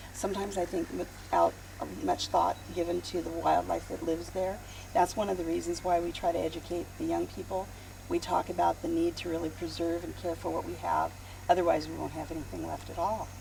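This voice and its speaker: A woman talks at a fairly quick pace with an American accent. Noticeable background noise can be heard. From California, San Joaquin Valley. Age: 60s. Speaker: wildlife rehabilitator. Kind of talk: interview.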